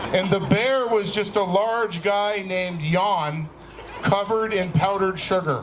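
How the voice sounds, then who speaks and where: A man speaks at a fairly slow pace in a high voice. Audible room echo and noticeable background noise are present. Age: 50s. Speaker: comedian. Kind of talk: stand-up.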